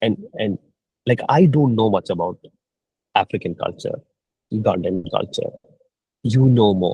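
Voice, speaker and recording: A somewhat breathy man's voice at a medium pitch, with lively intonation and a moderate pace. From India (Kerala). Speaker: mentor. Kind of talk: mentoring session.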